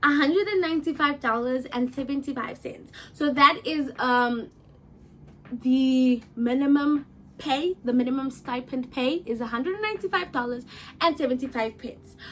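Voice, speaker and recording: Her tone is animated and her pitch is high. The woman's pitch varies in an ordinary way. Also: moderate pace. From South Africa. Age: 20s. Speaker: YouTuber and au pair. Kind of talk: casual Q&A vlog.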